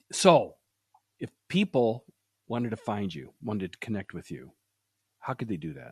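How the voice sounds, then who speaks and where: A man with an American accent, very wide pitch swings, big swings in loudness, vocal fry and long, frequent pauses, in a dry, close sound with no echo. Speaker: podcast host; sales podcast host. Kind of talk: interview. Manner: fast.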